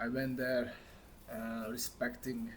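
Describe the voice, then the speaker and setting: A man with a Hungarian accent, with audible room echo. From Hungary. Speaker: vlogger. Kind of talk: casual monologue to camera. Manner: halting, many fillers.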